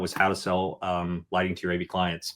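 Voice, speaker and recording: A man is heard in a very clean recording where the background is silent. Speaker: outdoor lighting designer. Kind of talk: podcast interview. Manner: fast.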